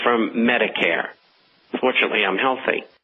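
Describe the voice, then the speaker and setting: Noticeable background noise runs through the clip. A man speaks at a medium pitch. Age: 70s. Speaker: newsletter editor, financial forecaster. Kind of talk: radio interview.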